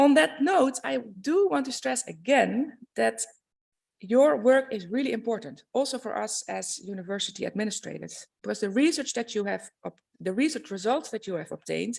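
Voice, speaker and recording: A Dutch accent comes through. The speaking pace is moderate. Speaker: university administrator. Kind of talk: welcome speech. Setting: conference stage with audience. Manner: formal.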